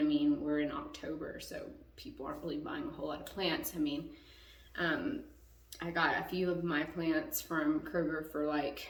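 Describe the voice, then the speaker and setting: A woman's pitch swings very widely as she speaks at a moderate pace, with audible room echo and noticeable background noise. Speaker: YouTuber, plant enthusiast. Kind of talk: casual tutorial. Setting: home bathroom. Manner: casual, rambling.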